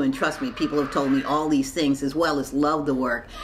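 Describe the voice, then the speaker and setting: With an American accent, a woman speaks at a very deep, low pitch amid noticeable background noise. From Baltimore, US. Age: 60s. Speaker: artist. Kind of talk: interview monologue.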